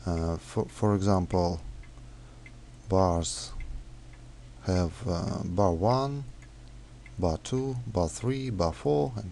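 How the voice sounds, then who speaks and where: A man with a non-native accent talks at a very slow pace in a dark, mellow tone. His pitch moves in very wide swings. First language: not English. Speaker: software developer. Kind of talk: tutorial. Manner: halting, many fillers.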